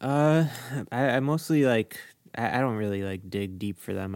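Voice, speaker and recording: On a very clean recording with a silent background, a man with an ordinary speaking voice speaks at a moderate pace with ordinary pitch variation. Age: 20s. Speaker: musician in a band. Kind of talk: casual chat.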